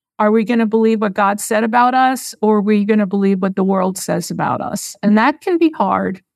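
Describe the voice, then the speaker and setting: A woman with an unremarkable speaking voice talks at a fairly quick pace, with hardly any pauses. Her pitch is fairly high with ordinary variation, over a quiet background. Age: 60s. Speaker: marketing business founder and former pastor. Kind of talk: interview, conversational storytelling.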